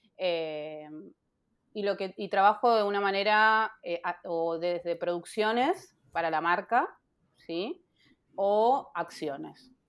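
The speaker goes at a very slow pace with ordinary pitch variation. The recording is very clean, with a silent background. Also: woman, medium pitch for a woman. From Buenos Aires, Argentina (Castelar). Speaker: photographer. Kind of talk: interview.

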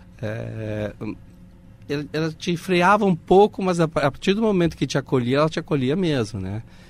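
With a Spanish accent, a man talks at a moderate pace, fairly high in pitch and with very wide pitch swings. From Uruguay. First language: Spanish (speaking Portuguese). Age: 50s. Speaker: audiovisual producer. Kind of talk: interview.

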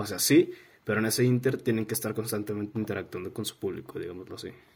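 A somewhat breathy man with a fairly low pitch. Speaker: student podcast host. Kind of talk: interview. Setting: bedroom.

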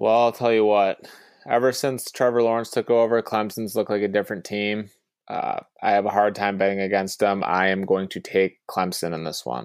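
In a normal speaking voice, a man talks at a fairly quick pace with an American accent and ordinary pitch variation, on a very clean recording with a silent background. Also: fairly low pitch for a man. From Ohio. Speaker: podcast co-host, pizza shop owner. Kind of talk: casual chat.

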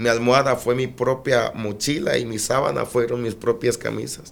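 A man talks at a moderate pace in a medium pitch, his intonation flat and monotone. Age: 20s. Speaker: evangelist preacher. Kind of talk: testimony. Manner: emphatic, preaching style even in conversation.

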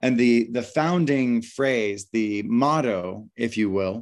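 On a very clean recording with a silent background, a man talks in an unremarkable speaking voice at medium pitch with ordinary pitch variation. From United States. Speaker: meditation teacher and author. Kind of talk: interview; guided meditation.

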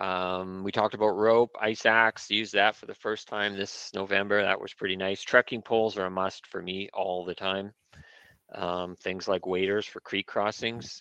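With a Canadian accent, a man speaks at a moderate pace in a fairly low, bright and sharp voice with flat, monotone intonation, the sound dry and close with no echo against a quiet background. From British Columbia, Canada (Prince George area). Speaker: mountain goat hunter, conservation board member. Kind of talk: livestream presentation.

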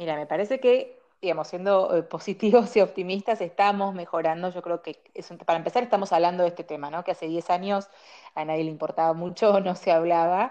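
A woman with a Rioplatense accent speaks at a fairly quick pace in a fairly low, dark and mellow voice, her loudness swinging widely. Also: ordinary pitch variation. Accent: Argentine Rioplatense Spanish. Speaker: dermatologist. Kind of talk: interview.

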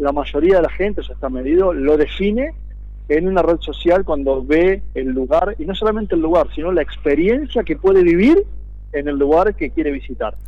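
The speaker has an Argentine accent and talks at a moderate pace. Noticeable background noise runs under the voice. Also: man. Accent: Argentine Spanish (rioplatense voseo). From Argentina, Viedma (Río Negro). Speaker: city councillor. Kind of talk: radio interview. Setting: phone call.

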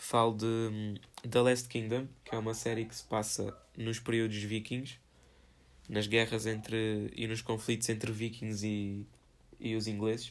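Monotone and flat in intonation, a man with a European Portuguese accent speaks at a fairly slow pace and a medium pitch. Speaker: solo podcaster. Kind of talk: casual solo monologue. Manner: informal, filler-heavy.

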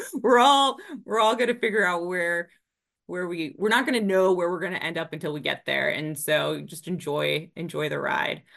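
Speaking at a moderate pace, a woman uses a fairly low pitch and lively intonation in an American accent. Her voice carries vocal fry. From Northern Virginia, US. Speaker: business development director. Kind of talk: interview.

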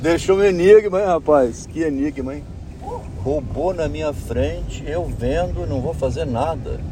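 Heard with audible room echo and noticeable background noise, a man speaks at a fairly slow pace. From Espírito Santo, Brazil. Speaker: engineer. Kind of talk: casual chat. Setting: in a car.

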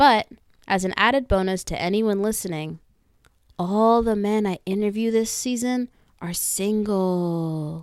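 A woman with a plain, everyday voice speaks at a fairly slow pace, her medium pitch showing ordinary pitch variation. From US, Northern Virginia. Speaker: podcast host. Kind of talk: scripted monologue intro. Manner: upbeat, playful.

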